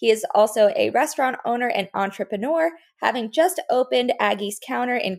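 A woman with an American accent and a normal speaking voice talks at a moderate pace, her fairly high pitch carrying lively intonation. The recording is very clean, with a silent background. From US South, Fort Lauderdale area, Florida. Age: 20s. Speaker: podcast host. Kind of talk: scripted intro; casual chat. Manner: laughs often.

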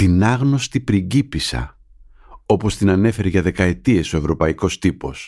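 Over a quiet background, a man speaks fairly slowly with a very deep, low pitch. His tone is dark and mellow, and his intonation is lively. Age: middle-aged. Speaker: journalist, podcast host. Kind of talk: scripted narration.

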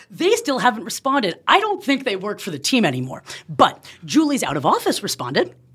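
A woman talks at a fairly quick pace. She speaks with a West Coast American accent. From Oakland, California. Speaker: software engineer. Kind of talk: casual interview.

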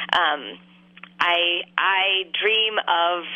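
This woman speaks with an American accent at a fairly low pitch. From California Central Valley. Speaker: organic peach farmer. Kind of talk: casual interview. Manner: hesitant, many fillers.

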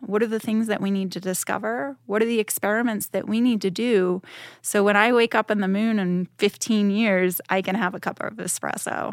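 Speaking at a fairly quick pace, a woman with an American accent has an ordinary speaking voice, medium pitch and fairly even intonation. The very clean recording has a silent background and a dry, close sound with no echo. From Boston, Massachusetts. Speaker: aerospace program director. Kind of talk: interview. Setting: studio.

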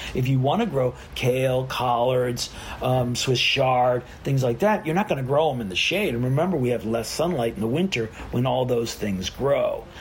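With noticeable background noise behind him, a man talks at a moderate pace and medium pitch with ordinary pitch variation. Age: 60s. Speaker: gardener and yoga instructor. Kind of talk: casual interview.

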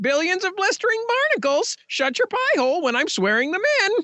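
This put-on character voice has an extremely high pitch and very wide pitch swings. It moves along at a fairly quick pace. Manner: comic, swearing.

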